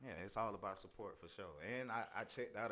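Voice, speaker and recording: A man talks at a fairly quick pace. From US South, Augusta, Georgia. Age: 30s. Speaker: videographer. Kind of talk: casual chat.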